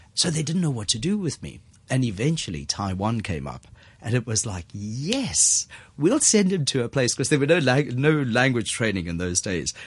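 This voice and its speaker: A man talks at a moderate pace and a medium pitch. His voice is somewhat breathy, with very wide pitch swings. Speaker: wine business manager and former diplomat. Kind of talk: interview. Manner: animated.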